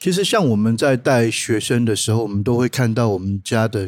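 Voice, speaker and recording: A man with a plain, everyday voice, fairly low in pitch with ordinary pitch variation, talks at a moderate pace on a very clean recording with a silent background. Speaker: boxing coach. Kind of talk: casual chat.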